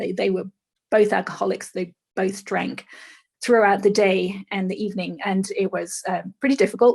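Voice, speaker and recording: A woman's medium-pitched voice with vocal fry at a fairly quick pace, in a dry, close sound with no echo. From England. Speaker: author and speaker. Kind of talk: interview. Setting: podcast.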